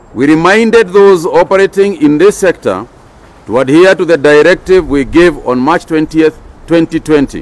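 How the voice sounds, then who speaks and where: This man speaks at a moderate pace in a high pitch. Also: ordinary pitch variation. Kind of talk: official press statement. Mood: firm, serious. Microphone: podium.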